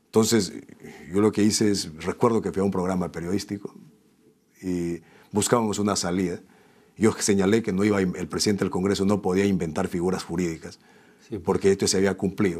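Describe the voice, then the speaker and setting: A man with a fairly low pitch talks at a fairly quick pace, with long, frequent pauses and fairly even intonation. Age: 40s. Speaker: politician; politician, interview guest. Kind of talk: interview. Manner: halting. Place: studio. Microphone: lapel.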